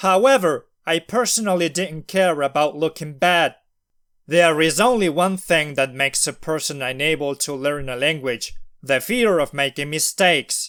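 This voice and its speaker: A non-native accent at a moderate pace with ordinary pitch variation, in a dry, close sound with no echo and a very clean recording with a silent background. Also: man, fairly high pitch for a man. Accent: non-native accent, self-described. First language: not English. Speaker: language learner vlogger. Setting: recorded at night.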